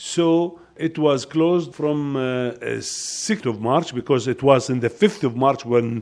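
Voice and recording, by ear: Speaking slowly at a medium pitch, a man has a slightly mellow tone and ordinary pitch variation.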